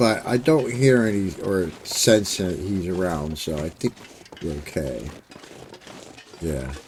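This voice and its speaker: A man speaks quietly at a very slow pace, his very deep, low pitch swinging very widely. Noticeable background noise is present. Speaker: gaming streamer. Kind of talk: gameplay commentary. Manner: casual, hesitant.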